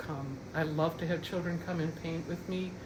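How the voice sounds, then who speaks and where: With an American accent, the speaker talks at a moderate pace in a flat monotone, amid audible room echo and noticeable background noise. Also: woman. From US Midwest, Minnesota. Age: 70s. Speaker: painter. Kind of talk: studio tour talk. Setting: artist's studio. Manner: halting, many fillers.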